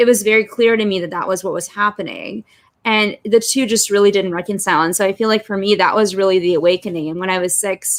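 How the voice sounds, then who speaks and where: Speaking at a very fast pace in a Los Angeles accent, a woman with a medium pitch keeps a fairly even intonation on a very clean recording with a silent background. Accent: American (Los Angeles). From Russia, moved to Los Angeles at five. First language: Russian. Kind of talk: interview.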